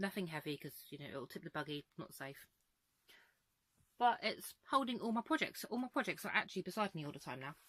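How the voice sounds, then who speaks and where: A woman at a medium pitch with an English accent, fairly quick, with very wide pitch swings and big swings in loudness. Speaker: crochet vlogger. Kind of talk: casual vlog. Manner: chatty; fast.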